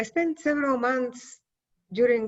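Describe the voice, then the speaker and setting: A woman speaks with a Bulgarian accent. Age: 50s. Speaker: poet. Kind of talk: interview.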